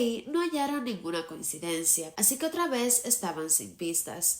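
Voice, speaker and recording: A woman speaks at a moderate pace with a fairly high pitch and very wide pitch swings. Noticeable background noise is present. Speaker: true crime narrator. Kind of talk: true crime narration to camera.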